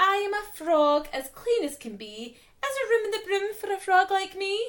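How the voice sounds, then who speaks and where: A woman puts on a character voice that is squeaky and extremely high in pitch. She speaks at a moderate pace. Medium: read story.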